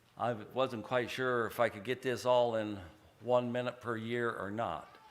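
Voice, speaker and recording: A man with an American accent, medium pitch, monotone, flat intonation and a fairly slow pace. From Oregon, US. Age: 70s. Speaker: church member. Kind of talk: testimony. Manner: halting.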